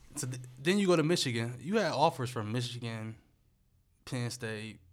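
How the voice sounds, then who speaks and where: Audible room echo surrounds a man with an American accent who speaks at a moderate pace, medium in pitch, with ordinary pitch variation. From US Midwest, Akron, Ohio. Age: 20s. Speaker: podcast host. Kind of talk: casual chat.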